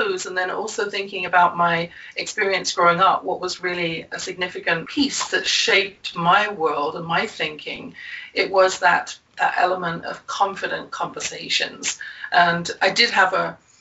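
Noticeable background noise runs under this recording. A woman at medium pitch speaks in an English accent at a moderate pace. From England. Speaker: confidence coach and author. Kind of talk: interview, conversational.

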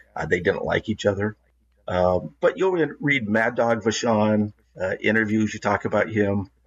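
With a West Coast accent, a man talks at a moderate pace in a fairly low pitch with ordinary pitch variation. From Oregon, Portland area. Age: 60s. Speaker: wrestling historian and former TV announcer. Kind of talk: casual interview. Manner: halting, many fillers.

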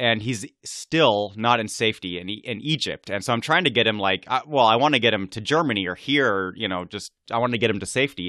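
At a fairly quick pace, a man with a normal speaking voice talks at medium pitch with ordinary pitch variation. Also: hardly any pauses. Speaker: history podcaster. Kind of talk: interview. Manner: casual, informal.

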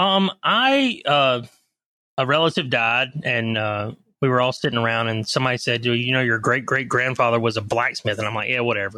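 A man talks at a fairly quick pace in a medium pitch with a bright, sharp tone. The background is quiet. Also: ordinary pitch variation. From coastal North Carolina (Leland, near Wilmington). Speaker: knife maker and salesman. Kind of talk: casual interview chat.

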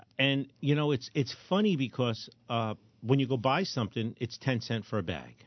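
Delivered at a moderate pace, a plain, everyday voice carries lively intonation. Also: man, medium pitch for a man. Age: 60s. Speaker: firearms trainer and radio host. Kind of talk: casual chat.

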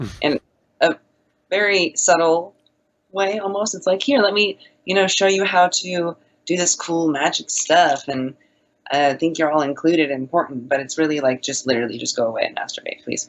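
Quick-paced and lively in intonation, a woman speaks in an unremarkable speaking voice at a fairly low pitch. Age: 20s. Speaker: satanist guest. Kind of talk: casual chat.

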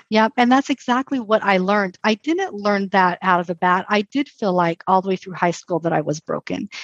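A woman speaks in a normal speaking voice at medium pitch with ordinary pitch variation, at a fairly quick pace and with hardly any pauses. The sound is dry and close, with no echo. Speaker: librarian and author. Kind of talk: casual interview.

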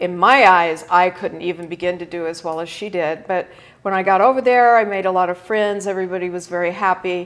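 Here is a plain, everyday voice. It moves at a fairly quick pace. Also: woman, medium pitch for a woman. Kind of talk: casual interview. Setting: live video stream.

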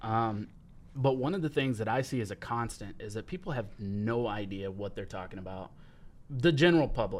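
A man with a plain, everyday voice speaks at a moderate pace, medium in pitch, with lively intonation. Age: 20s. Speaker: podcast host. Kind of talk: casual chat. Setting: studio.

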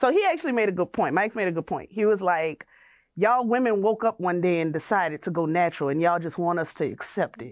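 A woman with a New Orleans accent, very fast and lively in intonation. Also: medium pitch for a woman, quiet background. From US South, New Orleans. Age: 30s. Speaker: hair salon owner. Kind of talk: casual interview.

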